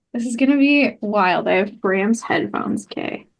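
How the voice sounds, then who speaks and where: A woman with a fairly high pitch talks at a moderate pace and with ordinary pitch variation while music plays behind her. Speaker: podcast co-host. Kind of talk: casual chat. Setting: video call.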